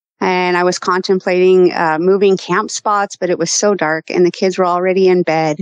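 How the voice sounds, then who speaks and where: At a moderate pace with hardly any pauses, a woman speaks at a medium pitch in a monotone, flat way, her loudness very even and the sound dry and close with no echo. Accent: American. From Colorado. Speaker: hunter and eyewitness. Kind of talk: personal testimony.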